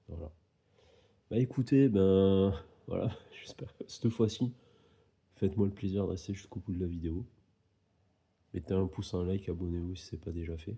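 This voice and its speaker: A man talks at a moderate pace in a very deep, low pitch, with a dark, mellow tone, ordinary pitch variation and a somewhat breathy quality. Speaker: tarot card reader. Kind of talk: tarot reading video monologue. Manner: casual, hesitant with fillers.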